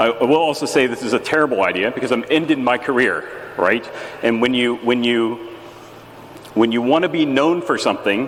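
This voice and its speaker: A man talks at a very fast pace with ordinary pitch variation. Audible room echo and noticeable background noise surround him. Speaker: geologist giving a conference talk. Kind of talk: lecture. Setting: stage with audience. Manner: halting, with many fillers.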